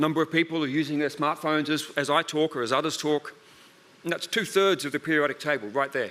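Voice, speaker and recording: A man with an Australian accent at a very fast pace, fairly high in pitch, bright and sharp in tone, with fairly even intonation. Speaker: research centre director. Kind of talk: conference talk.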